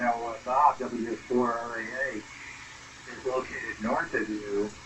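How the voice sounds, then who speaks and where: A man talks at a medium pitch, and noticeable background noise is heard throughout. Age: 70s. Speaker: ham radio operator. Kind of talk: casual chat. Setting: radio contact.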